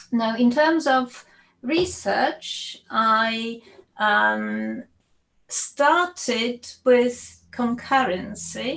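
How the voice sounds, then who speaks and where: A woman's high voice with a Polish accent, very slow and very even in loudness, with ordinary pitch variation. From Poland. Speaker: computer science professor. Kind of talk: panel discussion. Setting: video call.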